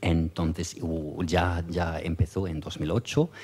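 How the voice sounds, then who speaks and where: This man speaks with a German accent in a very deep, low pitch. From Germany. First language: German (speaking Spanish). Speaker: EU official. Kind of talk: conference talk. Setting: conference with audience. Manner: hesitant, many fillers.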